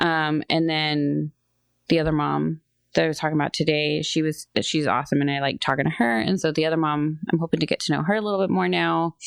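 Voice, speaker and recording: Against a quiet background, a woman with a very deep, low pitch talks very fast at a very even loudness, in a dry, close sound with no echo. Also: ordinary pitch variation. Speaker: podcast co-host. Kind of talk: casual chat.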